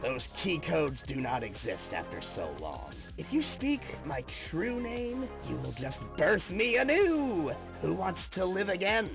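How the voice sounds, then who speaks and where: Someone does a put-on character voice at a fairly slow pace while loud music plays in the background. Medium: dub. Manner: calm, chill.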